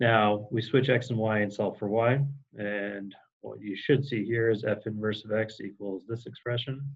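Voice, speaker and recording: Fairly low in pitch, a man speaks with fairly even intonation. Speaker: high school math teacher. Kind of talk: recorded lecture. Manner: fast; hesitant, many fillers.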